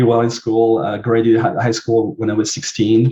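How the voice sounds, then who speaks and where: Speaking with a French accent, a man has a dark, mellow tone. His medium-pitched voice is somewhat breathy. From southern France. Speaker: marketing agency CEO. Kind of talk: interview. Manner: hesitant, many fillers.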